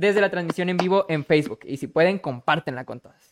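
A man with a high pitch, talking at a moderate pace in a dry, close sound with no echo. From Monterrey, Nuevo León, Mexico. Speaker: podcast host. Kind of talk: interview hosting. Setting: live-streamed online call.

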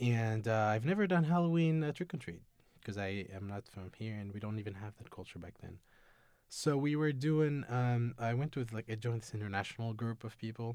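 A man with a Tunisian accent talks at a fairly quick pace with lively intonation and big swings in loudness. The recording is very clean with a silent background. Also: medium pitch for a man. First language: Tunisian Arabic. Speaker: international student. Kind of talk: interview. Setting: studio. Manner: halting.

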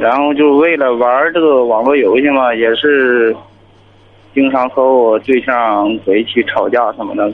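In a normal speaking voice, the speaker talks at a fairly slow pace with fairly even intonation. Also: man, medium pitch for a man. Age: 30s. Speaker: caller, driver. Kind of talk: phone-in advice call.

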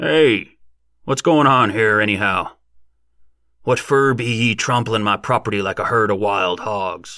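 A man uses a raspy, put-on character voice at a medium pitch and moderate pace, with long, frequent pauses. The recording is very clean with a silent background. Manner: irate, shouting.

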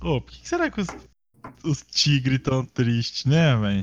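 A man speaks at a moderate pace. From Paraná interior, Brazil. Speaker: podcast host. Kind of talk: casual chat. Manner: animated.

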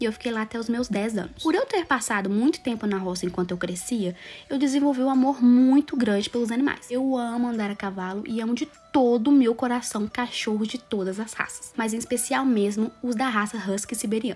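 The voice moves at a fairly quick pace with ordinary pitch variation over noticeable background noise. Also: woman, fairly high pitch for a woman. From Minas Gerais, Brazil (Capelinha, north of state). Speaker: podcaster. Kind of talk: casual monologue.

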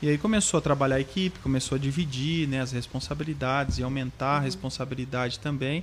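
A man talks very fast at a medium pitch. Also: ordinary pitch variation. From central Paraná, Brazil. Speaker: franchise school co-owner. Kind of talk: casual interview chat. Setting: studio.

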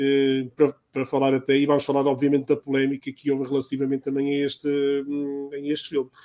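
Here a man is speaking. His pitch is fairly high. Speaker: pop culture podcast host. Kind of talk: casual chat.

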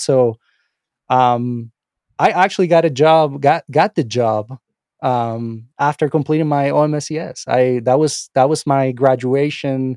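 Speaking with a Spanish accent, a man uses a medium pitch, ordinary pitch variation and a dark, mellow tone, recorded with a dry, close sound and no echo. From Venezuela. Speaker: AI researcher and course instructor. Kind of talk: interview conversation. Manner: halting, many repetitions and fillers.

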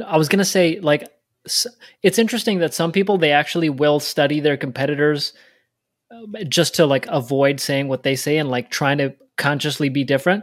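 A man's normal speaking voice, fairly high in pitch, with ordinary pitch variation, a fairly quick pace, and a very clean recording over a silent background. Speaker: podcast co-host. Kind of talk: interview.

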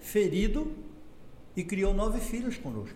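A man's fairly slow speech with lively intonation amid audible room echo. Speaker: company founder. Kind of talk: interview.

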